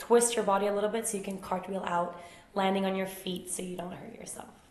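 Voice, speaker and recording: Speaking at a very fast pace, a woman with a medium-pitched voice keeps a monotone, flat intonation amid noticeable background noise and audible room echo. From Sweden, Uppsala and Stockholm. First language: Swedish. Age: 20s. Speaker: yoga teacher. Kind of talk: casual Q&A vlog.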